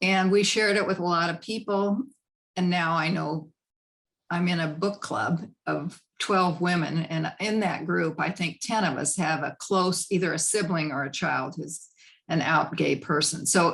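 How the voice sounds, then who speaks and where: A woman speaks with a Midwestern US accent in a fairly low voice. Her intonation is fairly even and her pace fairly slow. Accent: US Midwest. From Nebraska (Lincoln). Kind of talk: panel discussion.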